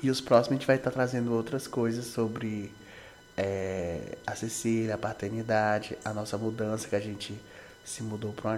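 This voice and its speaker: A man talks in a flat, monotone way at a fairly low pitch. Noticeable background noise runs under his voice. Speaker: podcast co-host, husband. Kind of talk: casual chat.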